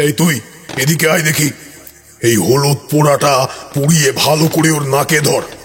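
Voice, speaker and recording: A man doing a put-on character voice, fairly high in pitch, at a moderate pace. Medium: audio drama. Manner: commanding.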